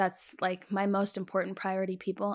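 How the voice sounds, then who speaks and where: The pace is fairly quick, in a plain, everyday voice. The recording is very clean, with a silent background. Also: woman. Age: 20s. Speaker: podcast co-host. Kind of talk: casual chat.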